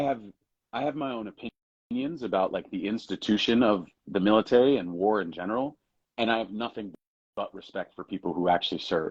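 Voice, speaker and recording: In an American accent, an unremarkable speaking voice moves at a fairly quick pace with ordinary pitch variation, the sound dry and close with no echo against a quiet background. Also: man, medium pitch for a man. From Jacksonville, Florida. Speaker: actor. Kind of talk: interview answer. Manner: casual, candid.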